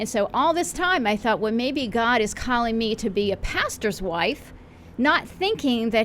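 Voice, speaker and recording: A woman with a normal speaking voice and an American accent, fairly high in pitch, with lively intonation. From western Pennsylvania. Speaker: pastor. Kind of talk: radio interview.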